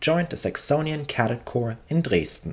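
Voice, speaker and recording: Vocal fry runs through speech delivered at a moderate pace. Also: man. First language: German. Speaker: history narrator. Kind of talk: scripted narration.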